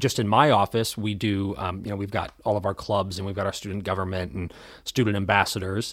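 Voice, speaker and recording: Someone talks at a fairly quick pace in a plain, everyday voice, and the recording is very clean with a silent background. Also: man. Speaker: college podcast host. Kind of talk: casual chat. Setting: studio. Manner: relaxed, conversational.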